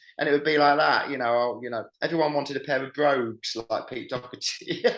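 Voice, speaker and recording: A man speaks with a southern English accent. His pace is fairly quick. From southern England. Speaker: musician. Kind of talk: interview. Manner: animated.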